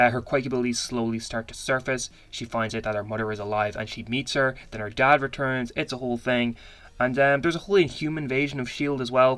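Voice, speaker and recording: A man speaks very fast at a medium pitch with fairly even intonation. The recording is very clean, with a silent background. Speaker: YouTube pop culture commentator. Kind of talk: casual commentary video.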